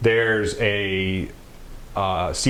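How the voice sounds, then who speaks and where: Audible room echo is on this recording. The man talking has an American accent. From US South, Mississippi. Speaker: retired Navy SEAL sniper, CBD company founder. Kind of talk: interview, explaining.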